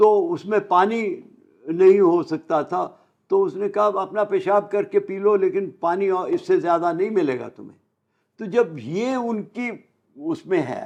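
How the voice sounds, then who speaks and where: This man's voice is high in pitch for a man, with lively intonation. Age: 80s+. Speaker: partition eyewitness. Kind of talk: interview memoir. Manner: halting.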